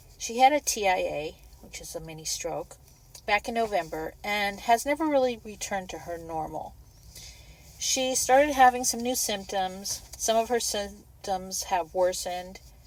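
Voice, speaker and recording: Here a woman uses a normal speaking voice at a medium pitch and a moderate pace. Her intonation is lively, and her loudness swings widely. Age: 60s. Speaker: caregiver vlogger. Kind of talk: personal vlog monologue.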